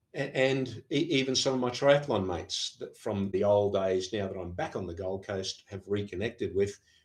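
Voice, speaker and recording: Talking with an Australian accent at a moderate pace, a man with a fairly low pitch and ordinary pitch variation leaves hardly any pauses. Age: 70s. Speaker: professor of sport science. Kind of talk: podcast interview. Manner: halting, with frequent fillers and repeats.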